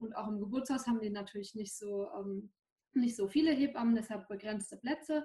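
A woman's somewhat breathy, dark, mellow voice at fairly high pitch and a fairly quick pace. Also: ordinary pitch variation. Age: 20s. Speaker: new mother. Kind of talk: personal testimony.

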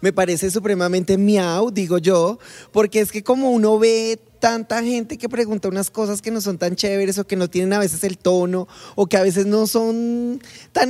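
A woman talks in a dark, mellow tone with ordinary pitch variation. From Colombia. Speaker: podcast co-host. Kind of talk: casual chat.

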